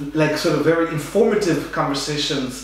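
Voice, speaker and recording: A man's voice at a moderate pace with ordinary pitch variation and strong room echo. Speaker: podcast host. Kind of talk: interview introduction. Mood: warm, enthusiastic. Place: home room.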